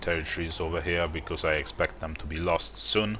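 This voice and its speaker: A man's very deep, low voice with a non-native accent at a moderate pace, over noticeable background noise. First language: not English. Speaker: gaming youtuber. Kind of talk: gameplay commentary. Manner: halting.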